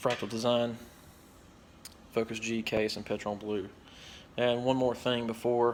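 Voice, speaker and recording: A man's flat, monotone voice at a fairly slow pace, broken by long, frequent pauses. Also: medium pitch for a man. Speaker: tech hobbyist youtuber. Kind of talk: product review. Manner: casual, hesitant with fillers.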